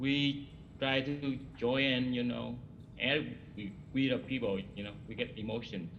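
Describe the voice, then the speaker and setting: Audible room echo surrounds a man who speaks fairly slowly at a medium pitch with a non-native accent. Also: ordinary pitch variation. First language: not English. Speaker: hospital cook, award recipient. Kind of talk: ceremony remarks. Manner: halting.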